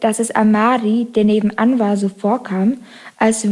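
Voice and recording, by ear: Natural-voiced reading aloud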